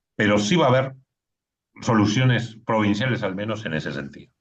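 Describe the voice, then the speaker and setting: Vocal fry marks a man's voice of fairly low pitch. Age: 60s. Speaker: electoral official. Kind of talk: panel talk.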